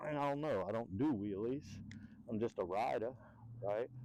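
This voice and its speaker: A man talks at a medium pitch. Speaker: e-bike reviewer. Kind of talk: casual ride-along review.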